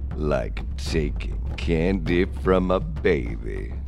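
A man cackles in a put-on character voice at a very slow pace. Loud music plays in the background. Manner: cackling, gloating.

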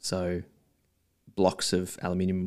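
A man with an Australian accent speaks in a very deep, low pitch, on a very clean recording with a silent background. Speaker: watch enthusiast and marketer. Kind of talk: casual interview chat.

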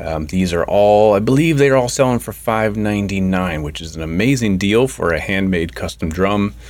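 Against noticeable background noise, a man talks at a moderate pace with hardly any pauses, a fairly low pitch and lively intonation. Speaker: podcast host. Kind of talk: podcast hosting, interview. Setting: studio.

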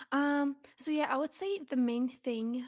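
Speaking with a Russian accent, a woman moves at a fairly slow pace with fairly even intonation. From Russia (Zelenograd, near Moscow). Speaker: charity advocate. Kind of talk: casual interview.

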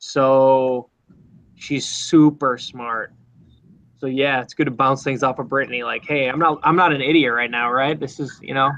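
A man with an American accent, medium pitch and a moderate pace. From Minnesota. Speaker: TV meteorologist. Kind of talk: casual interview. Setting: video call from TV newsroom. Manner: animated.

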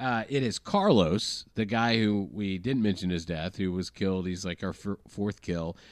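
With an American accent, a man speaks in an unremarkable speaking voice at a fairly low pitch and moderate pace, with ordinary pitch variation and hardly any pauses, on a very clean recording with a silent background and a dry, close sound with no echo. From US South. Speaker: podcast guest. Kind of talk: casual chat. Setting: studio.

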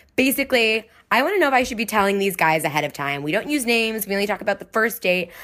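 A woman speaks very fast in a fairly high, bright and sharp voice with lively intonation. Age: 20s. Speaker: caller, part-time writer. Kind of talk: recorded voicemail question.

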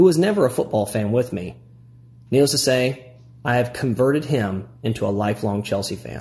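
Here a man talks in a Midwestern American accent at a moderate pace. His medium-pitched voice is somewhat breathy. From US Midwest, Illinois. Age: 30s. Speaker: primary school teacher and fan. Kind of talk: prepared reading of a fan piece.

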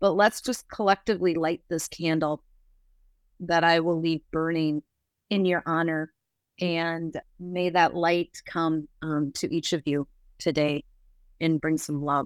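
A woman with an American accent speaks at a fairly slow pace with long, frequent pauses. Her fairly low pitch stays fairly even, in a dry, close sound with no echo. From US Midwest, Minnesota. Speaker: grief therapist. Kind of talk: support group facilitation. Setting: video call.

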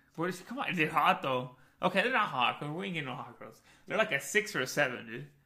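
Amid noticeable background noise, a man with an American accent speaks very fast at a fairly high pitch, with very wide pitch swings and big swings in loudness. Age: 30s. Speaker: podcast co-host. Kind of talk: casual chat. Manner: animated.

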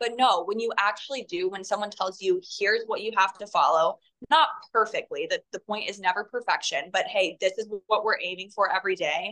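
The voice has a bright, sharp tone, an American accent and ordinary pitch variation. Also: woman, medium pitch for a woman. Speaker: holistic health advocate. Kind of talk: casual chat. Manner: rambling, fast.

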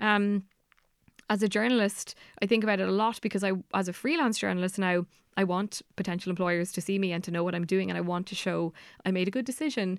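Against a very clean, silent background, a woman talks at a very fast pace with a medium pitch and fairly even intonation. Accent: Irish. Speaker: journalist and author. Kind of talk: interview.

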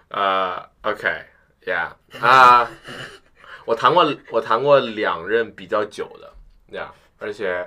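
A man's very slow speech, broken by long, frequent pauses, with big swings in loudness. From Beijing. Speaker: university student. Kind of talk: casual chat. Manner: animated, laughing often.

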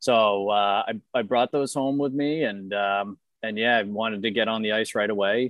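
A man's unremarkable speaking voice with an American accent, fairly low in pitch and fairly even in intonation, at a moderate pace. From Boston. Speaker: amateur hockey goalie. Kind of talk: casual chat.

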